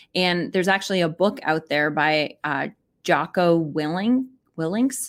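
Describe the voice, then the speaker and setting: A woman with a plain, everyday voice speaks at a moderate pace, fairly low in pitch with lively intonation, on a very clean recording with a silent background. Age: 40s. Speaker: podcast co-host. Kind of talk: casual chat. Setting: live stream.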